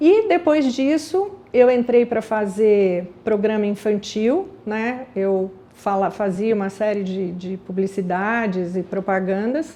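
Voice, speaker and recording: A woman speaks at a very slow pace with hardly any pauses, her pitch fairly high and its variation ordinary. Noticeable background noise sits behind her. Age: 60s. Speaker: aromatherapy business founder. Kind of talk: personal life story. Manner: conversational.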